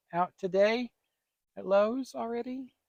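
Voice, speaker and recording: Recorded with a dry, close sound and no echo, a man speaks with an Appalachian accent. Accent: country Appalachian. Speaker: gardening channel co-host. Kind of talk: casual chat. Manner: animated.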